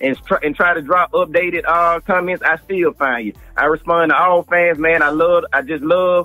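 Faint music plays behind a man speaking at a fairly quick pace. His voice is high, and the sound is dry with no echo. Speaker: remote guest commentator. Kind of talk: interview answer. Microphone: phone line.

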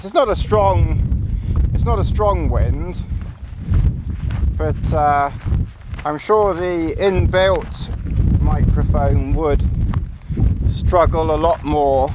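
Against clear background noise, a man with a fairly high pitch talks at a slow pace with long, frequent pauses and ordinary pitch variation.

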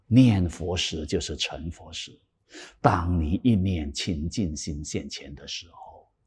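Very deep and low in pitch, a man's somewhat breathy voice moves at a very slow pace with big swings in loudness. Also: ordinary pitch variation. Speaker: Buddhist dharma teacher. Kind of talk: sutra lecture. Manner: animated. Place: studio. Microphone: lapel.

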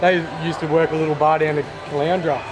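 Over noticeable background noise, the voice moves at a fairly quick pace with monotone, flat intonation. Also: man. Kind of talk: interview answer. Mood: friendly, relaxed. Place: bar. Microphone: lapel.

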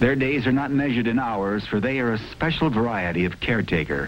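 Solemn and dramatic in tone, the voice carries lively intonation over noticeable background noise. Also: man. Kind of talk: 1970s military documentary narration. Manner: solemn, formal, dramatic; measured, deliberate delivery.

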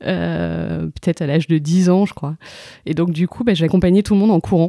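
On a very clean recording with a silent background, a woman speaks at a moderate pace, the sound dry and close with no echo. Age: 30s. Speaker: amateur runner. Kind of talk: casual interview. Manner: halting, many hesitations.

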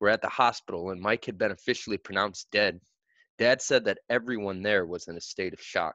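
A quiet background behind plain reading aloud, its pitch varying in an ordinary way

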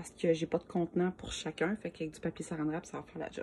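A woman's fairly low, dark, mellow voice with a Quebec accent, at a very fast pace over light background noise. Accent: Québécois French. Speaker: home cooking video creator. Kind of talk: cooking tutorial. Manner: casual, with many hesitations. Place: kitchen. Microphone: phone near.

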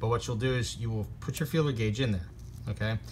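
A man is speaking with ordinary pitch variation. Light background noise can be heard. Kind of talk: tutorial. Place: workshop. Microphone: phone near.

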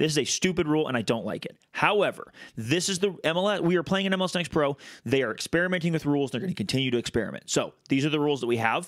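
A man's fairly high, animated voice at a very fast pace, with lively intonation. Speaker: soccer podcast co-host. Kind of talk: casual chat. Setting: video call.

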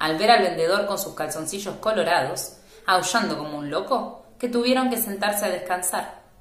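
Here is an unforced reading voice.

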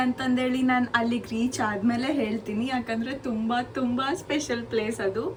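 This woman's voice is high in pitch and monotone, with flat intonation. Noticeable background noise runs under it. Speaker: vlogger, student. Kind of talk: casual vlog talk to camera.

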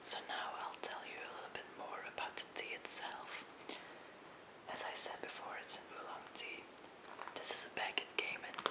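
Loud background noise fills the clip. The speech has long, frequent pauses. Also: moderate pace. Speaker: tea video host. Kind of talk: ASMR tea-making video, casual talk to camera. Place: home room.

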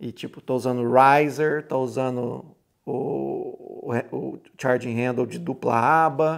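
A man at a very slow pace over a quiet background. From Brazil. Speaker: gun hobbyist youtuber. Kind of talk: casual chat. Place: home room.

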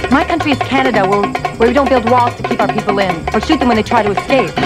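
A woman talks at a very fast pace. Loud music plays in the background. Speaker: actress in a spy film. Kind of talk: low-budget spy thriller film dialogue. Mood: earnest, patriotic. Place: garden.

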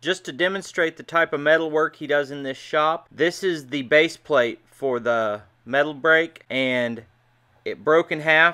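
The background is quiet as a man talks at a moderate pace. His pitch varies in an ordinary way. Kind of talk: casual vlog commentary. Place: workshop. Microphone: phone near.

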